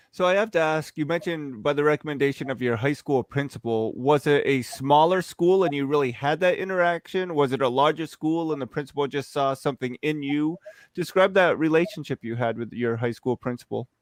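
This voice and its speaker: A man with an American accent talks at a fairly quick pace with hardly any pauses, in a plain, everyday voice that sits fairly high with ordinary pitch variation. The sound is dry and close with no echo, and the background is quiet. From New Jersey. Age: 40s. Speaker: podcast interviewer. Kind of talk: interview.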